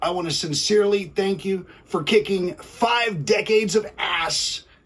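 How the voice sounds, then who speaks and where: Over noticeable background noise, a man with a high voice speaks at a fairly slow pace with ordinary pitch variation. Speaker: music channel host. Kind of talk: casual commentary.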